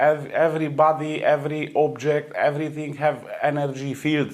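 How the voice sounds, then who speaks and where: Against noticeable background noise, a man talks at a moderate pace in a fairly high voice. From Romania. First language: Romanian. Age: 40s. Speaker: energy healer. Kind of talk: interview. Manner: halting, many hesitations.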